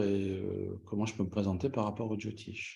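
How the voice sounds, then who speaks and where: The man's voice sits at a fairly low pitch with a dark, mellow tone. His intonation stays fairly even. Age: 60s. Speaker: astrologer. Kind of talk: interview.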